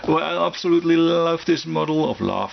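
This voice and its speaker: A man with a non-native accent speaks at a moderate pace over noticeable background noise. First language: German. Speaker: scale model hobbyist YouTuber. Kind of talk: casual product review. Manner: halting, many fillers and restarts.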